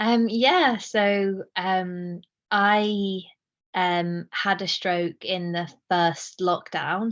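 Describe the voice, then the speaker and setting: A woman talks at a very slow pace against a quiet background. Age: 20s. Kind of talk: interview answer.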